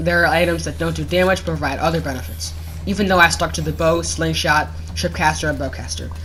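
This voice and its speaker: Noticeable background noise sits under words delivered at a very fast pace. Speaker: gaming youtuber. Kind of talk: game review commentary over gameplay. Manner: halting, self-corrects.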